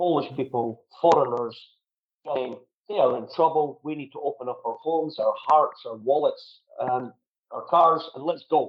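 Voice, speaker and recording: A man with a Scottish accent at a moderate pace. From Scotland. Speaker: keynote speaker and entertainment entrepreneur. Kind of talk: podcast interview. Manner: animated.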